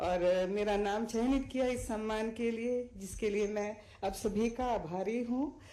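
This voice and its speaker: Speaking with a Sri Lankan accent, a woman keeps a fairly high pitch and fairly even intonation. Room echo is audible. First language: Sinhala (speaking Hindi). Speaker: Hindi teacher, award recipient. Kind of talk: acceptance speech. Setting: stage with audience. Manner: halting, many fillers.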